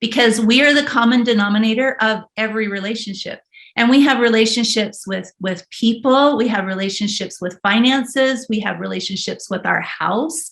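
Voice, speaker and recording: A woman with a Western US accent, her pitch fairly high, hardly any pauses between words. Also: ordinary pitch variation, moderate pace. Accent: American West. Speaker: body language expert. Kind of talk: casual chat.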